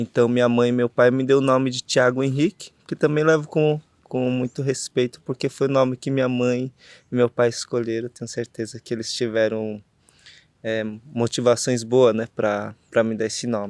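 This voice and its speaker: Recorded very cleanly against a silent background, a man of medium pitch speaks at a moderate pace with fairly even intonation. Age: 30s. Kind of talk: interview. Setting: outdoors under an avocado tree at a festival. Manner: halting, many fillers.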